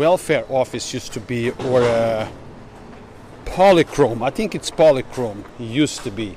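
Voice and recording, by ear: At a fairly slow pace, a man with a medium pitch and a slightly mellow tone talks with ordinary pitch variation over faint background noise.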